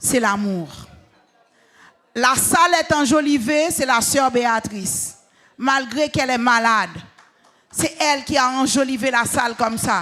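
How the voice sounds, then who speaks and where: The tone is animated and the pace fairly slow. Long pauses come often. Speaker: gala master of ceremonies. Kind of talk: speech thanking people at church gala. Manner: animated, rousing the crowd.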